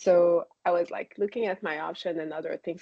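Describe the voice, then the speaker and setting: A woman with a slight French accent is speaking. Her pace is fairly quick. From Quebec, Canada (town outside Quebec City). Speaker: spine surgeon. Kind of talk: interview. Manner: hesitant, many fillers.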